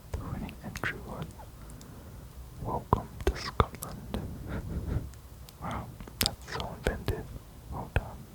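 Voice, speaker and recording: A man whispers at a very slow pace, with long, frequent pauses and big swings in loudness. Noticeable background noise is present. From Australia. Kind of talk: ASMR fact reading. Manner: whispered.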